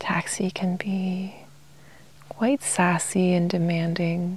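The voice is soft-spoken and moves at a very slow pace. The sound is dry, with no echo. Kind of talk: calm casual talk about pets. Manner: soft-spoken ASMR murmur.

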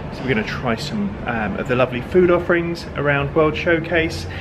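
Noticeable noise sits in the background. Over it, a man talks fairly quickly. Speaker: travel vlogger. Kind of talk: casual vlog chat. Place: home room. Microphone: phone near.

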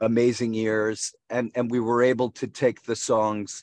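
Recorded with a dry sound with no echo and a quiet background, a man is speaking. His pace is moderate. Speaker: guest. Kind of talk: interview answer. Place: car. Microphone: video call.

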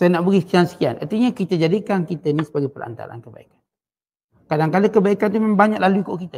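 Lively in intonation and high-pitched, a man speaks at a very fast pace with big swings in loudness. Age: old. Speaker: religious teacher. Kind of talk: religious lecture. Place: studio. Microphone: headset.

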